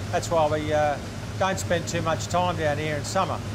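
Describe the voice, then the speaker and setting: Amid noticeable background noise, a man talks at a moderate pace with very wide pitch swings. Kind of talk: interview answer. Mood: cheerful, proud. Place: boat.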